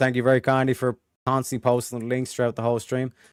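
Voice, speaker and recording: In an Irish accent, a man speaks at a very fast pace with a medium pitch. The sound is dry and close, with no echo. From Ireland. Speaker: streamer. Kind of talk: casual chat.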